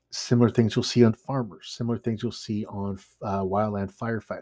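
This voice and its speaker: A man with a Canadian accent has a dark, mellow tone, fairly low pitch, and fairly even intonation. The very clean recording has a silent background and a dry, close sound with no echo. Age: 30s. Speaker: bushcraft instructor and podcast host. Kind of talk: solo podcast monologue.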